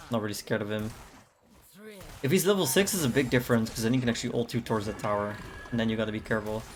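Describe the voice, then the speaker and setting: A man at medium pitch and a very fast pace, with ordinary pitch variation and long, frequent pauses. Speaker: gaming streamer. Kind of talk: gameplay commentary. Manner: casual.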